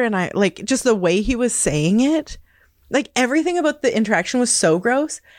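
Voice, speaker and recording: A woman talks in a western Canadian accent with a high pitch. Her pitch swings very widely in a very clean recording with a silent background. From northern British Columbia, Canada (Kispiox Valley, Hazelton). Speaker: community radio worker. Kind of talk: casual interview.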